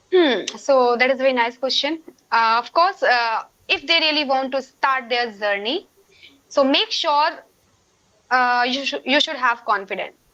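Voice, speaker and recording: A woman speaks in a raised, projected voice at a moderate pace. Her tone is high, bright and sharp, with ordinary pitch variation. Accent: Indian. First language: Hindi. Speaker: English learner guest. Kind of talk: casual conversation practice.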